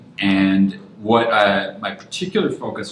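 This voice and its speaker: Audible room echo surrounds a man's fairly low-pitched voice. His intonation stays fairly even. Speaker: design lead speaking at a meetup. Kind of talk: lecture. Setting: room with live audience. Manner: fast.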